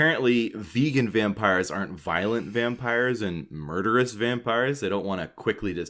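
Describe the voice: The delivery is plain reading aloud.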